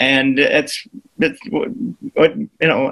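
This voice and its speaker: A man's lively intonation rises and falls while he talks at a very slow pace. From Australia. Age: 70s. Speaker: comedian and actor. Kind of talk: interview. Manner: halting.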